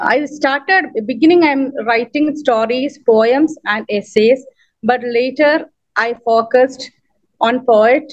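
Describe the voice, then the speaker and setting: A woman with a Keralan accent speaks at a very slow pace in a high pitch, her pitch varying in an ordinary way. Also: very even loudness. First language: Malayalam. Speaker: poet and writer, award recipient. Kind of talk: acceptance speech. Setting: video call. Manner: halting.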